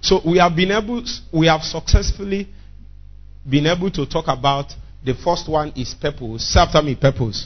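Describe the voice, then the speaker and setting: Over music in the background, a man with a strong Nigerian accent and a fairly high voice speaks at a moderate pace with lively intonation and long, frequent pauses. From Nigeria, Igbo area (Nnewi). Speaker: pastor. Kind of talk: sermon. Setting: church. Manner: animated.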